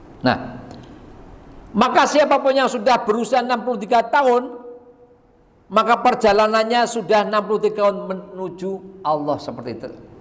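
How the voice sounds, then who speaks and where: A man speaks at a moderate pace in a high pitch with ordinary pitch variation. Audible room echo and noticeable background noise are present. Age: 60s. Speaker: preacher. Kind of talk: sermon.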